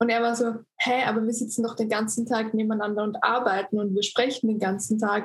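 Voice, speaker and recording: A woman's fairly high voice at a fairly quick pace, with hardly any pauses. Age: 20s. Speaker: influencer. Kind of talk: casual chat. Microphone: poor recording quality.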